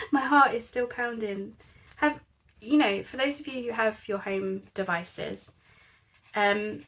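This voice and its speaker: A soft-spoken woman, fairly high in pitch, at a fairly slow pace with ordinary pitch variation. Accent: British. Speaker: craft youtuber. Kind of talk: craft tutorial. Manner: quiet. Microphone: quiet, volume boosted in editing.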